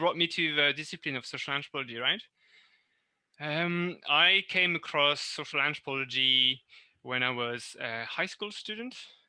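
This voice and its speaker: In a very clean recording with a silent background, a man with a French accent speaks at a moderate pace in a fairly high, bright, sharp voice with ordinary pitch variation. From northern France. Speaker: university lecturer. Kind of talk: interview. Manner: halting, many fillers.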